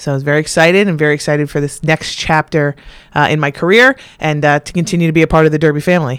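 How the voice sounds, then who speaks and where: A woman with an American accent speaks at a very fast pace in a very deep, low voice, her intonation fairly even. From Connecticut, North Branford. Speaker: school principal. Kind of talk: interview.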